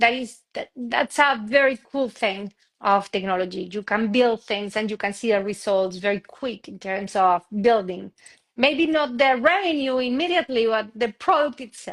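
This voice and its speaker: In a Spanish accent, a woman with a fairly high voice speaks at a moderate pace with lively intonation and big swings in loudness, the sound dry and close with no echo. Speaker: tech entrepreneur. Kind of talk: interview conversation. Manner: halting.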